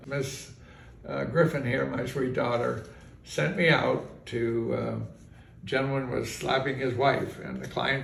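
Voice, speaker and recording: A man with an American accent at a fairly slow pace, with audible room echo and noticeable background noise. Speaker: retired bar owner and process server. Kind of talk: storytelling in casual interview. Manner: halting, many fillers.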